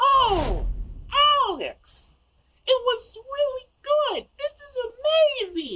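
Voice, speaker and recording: Putting on a character voice, a man speaks at an extremely high pitch and a very slow pace, with long, frequent pauses. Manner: condescending, falsely cheerful.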